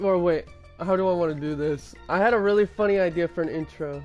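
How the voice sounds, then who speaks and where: Background music accompanies a voice delivered at an even, middling speed. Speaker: gaming streamer. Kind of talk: casual gaming live stream rant.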